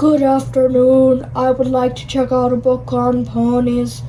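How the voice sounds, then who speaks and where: The speaker performs a cartoonish character voice at a fairly slow pace. Clear background noise runs behind it. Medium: puppet show. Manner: polite, gentle.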